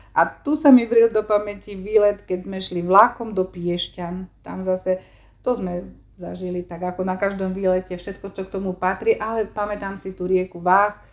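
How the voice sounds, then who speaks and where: In an ordinary speaking voice, the speaker goes at a moderate pace with fairly even intonation and big swings in loudness. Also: woman. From eastern Slovakia, Stará Ľubovňa district. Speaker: secondary school teacher. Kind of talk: interview.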